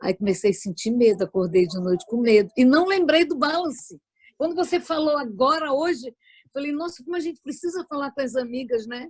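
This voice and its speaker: At a fairly quick pace, a woman speaks in a high pitch with very wide pitch swings. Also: dry, close sound with no echo. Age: 60s. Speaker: viewer asking question. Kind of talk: testimony.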